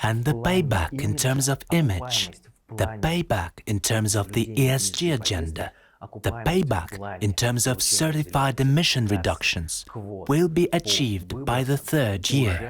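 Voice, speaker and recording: A man's somewhat breathy, medium-pitched voice, very even in loudness, with very wide pitch swings and a fairly slow pace. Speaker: English teacher and voiceover narrator. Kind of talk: corporate promo narration.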